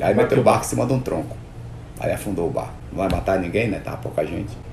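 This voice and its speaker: Talking at a very fast pace, a man is heard over noticeable background noise and audible room echo. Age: 60s. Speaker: boat builder and river transport entrepreneur. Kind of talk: interview. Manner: halting, repeats words.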